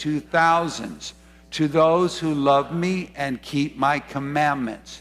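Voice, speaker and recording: Faint music plays behind a man speaking at a very slow pace with ordinary pitch variation. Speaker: preacher. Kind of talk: sermon. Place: church.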